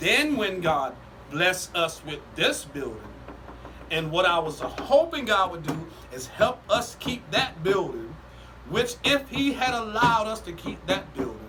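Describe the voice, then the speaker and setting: A man speaks at a fairly slow pace in a raised, projected voice with a high pitch, very wide pitch swings and big swings in loudness, over noticeable background noise and audible room echo. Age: 60s. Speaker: pastor. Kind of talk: casual podcast chat. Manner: preachy, building storytelling.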